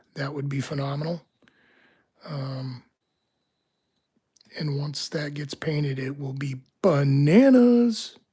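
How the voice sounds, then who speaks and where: The speaker is soft-spoken and very slow. Long pauses come often. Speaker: locksport streamer. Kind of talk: live stream commentary. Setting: home, live stream. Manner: hesitant, many fillers.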